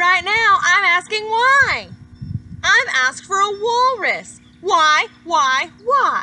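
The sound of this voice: In a put-on character voice, a woman speaks slowly at an extremely high pitch, her bright, sharp tone making big pitch swings.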